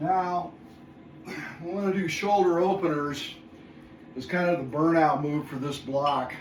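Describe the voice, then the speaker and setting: A man with a high pitch talks at a fairly slow pace, leaving long, frequent pauses, his intonation fairly even. Noticeable background noise and audible room echo fill the recording. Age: 60s. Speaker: fitness video host. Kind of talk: workout tutorial. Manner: counting reps aloud between exertion breaths.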